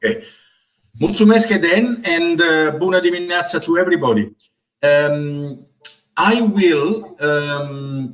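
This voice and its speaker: With an Italian accent, a high-pitched man speaks at a fairly slow pace, using lively intonation and very even loudness, with long, frequent pauses. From Italy. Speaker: professor. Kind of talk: graduation speech. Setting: video call.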